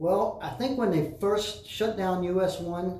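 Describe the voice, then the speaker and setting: With an American accent, a man speaks at a moderate pace with ordinary pitch variation, and audible room echo surrounds his voice. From Florida Keys, Key West. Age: 70s. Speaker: former mayor. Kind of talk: interview.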